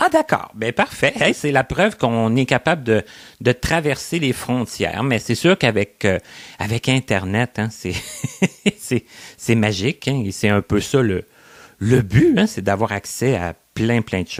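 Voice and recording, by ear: This man talks at a fairly slow pace in a medium pitch. His voice makes big swings in pitch.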